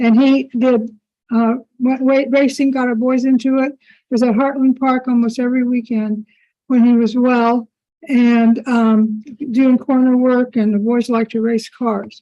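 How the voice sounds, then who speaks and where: A woman with a high pitch speaks fairly slowly in a flat monotone, with very even loudness and a dark, mellow tone. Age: 80s+. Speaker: public commenter at a county meeting. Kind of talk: public comment. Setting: public meeting.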